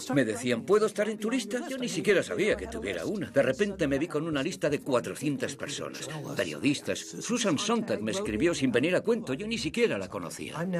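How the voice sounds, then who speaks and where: Over noticeable background noise, a man with a fairly high pitch talks at a fairly quick pace with very wide pitch swings and hardly any pauses. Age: 70s. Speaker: blogger and editor. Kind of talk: interview.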